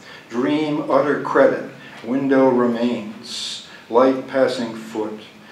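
Very slow, flat, monotone speech comes through with audible room echo and light background noise. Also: man. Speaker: poet. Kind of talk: poem reading, deadpan and unbroken, long stretch of dense fragmentary verse. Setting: stage with audience, live reading. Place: hall. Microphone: podium.

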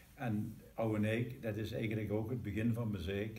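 Speaking at a fairly slow pace with a Limburg accent, a man has a fairly low pitch and a dark, mellow tone that is somewhat breathy. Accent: Maaseik Limburgish dialect. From Maaseik, Belgian Limburg. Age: 80s+. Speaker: local band member telling its history. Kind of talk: interview answer, reminiscing. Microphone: camera far.

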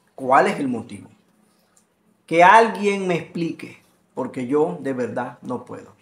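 A man's fairly bright, medium-pitched voice with lively intonation, at a fairly slow pace in a room with audible echo.

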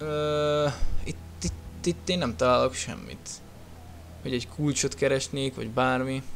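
At a very slow pace, a man with medium pitch speaks in very wide pitch swings. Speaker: gaming youtuber. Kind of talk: let's play commentary. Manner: casual, animated.

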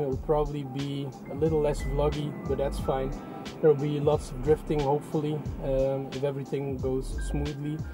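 A man, with clear music in the background. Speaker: car vlogger. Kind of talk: casual vlog chat. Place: car. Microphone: phone near.

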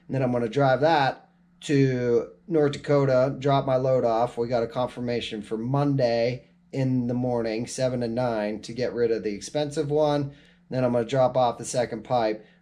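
A moderate pace and fairly even intonation. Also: man. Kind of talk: casual vlog chat. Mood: stressed but matter-of-fact. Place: home room. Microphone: phone near.

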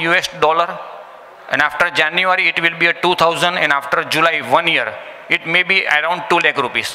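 With a high pitch, this man speaks at a moderate pace. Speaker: presenter. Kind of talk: presentation speech. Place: hall.

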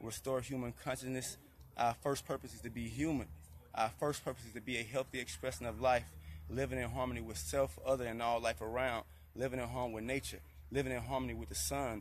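Talking at a very fast pace, a man uses lively intonation and vocal fry, in a dry sound with no echo and light background noise. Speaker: retreat host. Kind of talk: live stream talk, preaching about health. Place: garden. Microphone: phone near.

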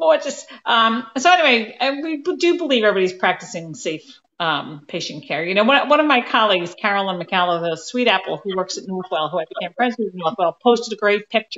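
With very wide pitch swings, a woman talks at a fairly quick pace with hardly any pauses. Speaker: nurse coach. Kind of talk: casual chat. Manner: loud. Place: office. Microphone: too quiet, far from the mic; video call.

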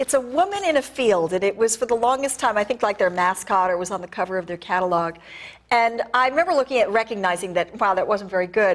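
Here a woman talks at a very fast pace. Her intonation is lively. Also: medium pitch for a woman. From New England. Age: 50s. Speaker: arts and entertainment critic; guest. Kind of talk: TV interview. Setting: TV studio. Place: studio. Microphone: lapel.

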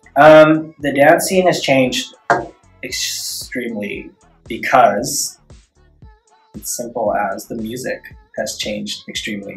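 A man speaks at a very slow pace, with long, frequent pauses and big swings in loudness. Faint music sits in the background. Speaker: dance choreographer. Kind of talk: interview answer. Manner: soft-spoken. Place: meeting room. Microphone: camera far.

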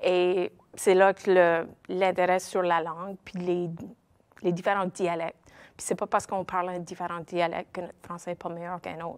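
A woman's fairly low pitch in a monotone, flat intonation at a moderate pace. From Nova Scotia, Cape Breton, Petit-de-Grat (Acadian); Nova Scotia. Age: 50s. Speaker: Acadian web series creator. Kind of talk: interview. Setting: studio. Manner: hesitant, many fillers. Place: studio.

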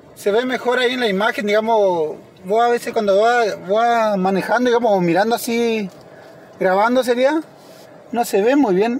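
At a moderate pace, a man speaks with ordinary pitch variation. The sound is dry with no echo, over light background noise. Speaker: driver vlogger. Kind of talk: casual vlog chat. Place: car. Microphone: phone near.

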